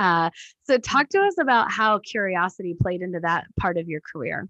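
Her tone bright and sharp, a woman speaks at a moderate pace with lively intonation, the sound dry and close with no echo and the background quiet. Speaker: podcast host. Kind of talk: casual interview conversation. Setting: video or phone call, remote guest. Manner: energetic, animated.

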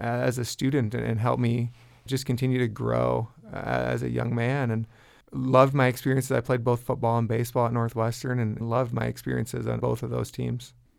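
A man with an Upper Midwest accent, talking at a fairly quick pace. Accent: Upper Midwest American. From US Midwest, northwest Iowa. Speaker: college football head coach. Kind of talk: interview. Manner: frequent fillers and word repeats.

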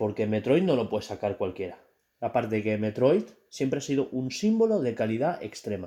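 A man's medium-pitched voice with a dark, mellow tone and lively intonation, on a very clean recording with a silent background. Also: fairly quick pace. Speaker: podcast host and indie game developer. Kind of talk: casual chat.

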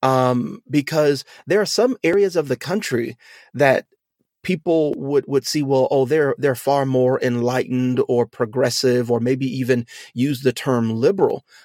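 A man with an American accent speaks fairly slowly at a medium pitch, with ordinary pitch variation and an unremarkable speaking voice. The recording is very clean, with a silent background. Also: dry, close sound with no echo. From US South, Louisiana. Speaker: pastor and podcast host. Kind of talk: casual discussion.

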